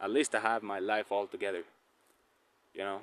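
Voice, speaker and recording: A man with a Spanish accent, talking at a moderate pace. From Colombia. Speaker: tarot reader. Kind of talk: casual vlog monologue. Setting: outdoors on a walk. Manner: halting, many fillers and repetitions.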